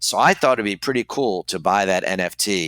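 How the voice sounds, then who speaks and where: With a bright, sharp tone and fairly low pitch, a man speaks at a moderate pace with ordinary pitch variation in a dry, close sound with no echo. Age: 60s. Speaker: toy car collector. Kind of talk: interview.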